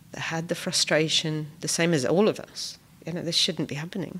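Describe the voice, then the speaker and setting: A woman speaks with a Welsh accent. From Wales. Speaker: refugee volunteer. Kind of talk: podcast interview.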